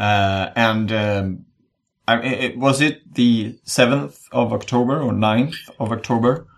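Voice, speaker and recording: A man with a Swedish accent speaks at a medium pitch and a very slow pace. His pitch varies in an ordinary way. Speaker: podcast host. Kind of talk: casual chat. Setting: video call.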